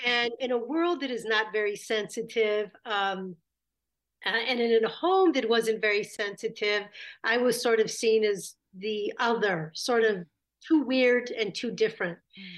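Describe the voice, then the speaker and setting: A woman speaks at a fairly slow pace with fairly high pitch and ordinary pitch variation against a quiet background. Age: 60s. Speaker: rabbi and community founder. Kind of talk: interview conversation. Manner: animated.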